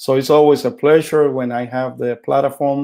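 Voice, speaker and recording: A man with a Puerto Rican accent, a dark, mellow tone, fairly high pitch, ordinary pitch variation and a moderate pace. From Puerto Rico. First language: Spanish. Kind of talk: teaching talk.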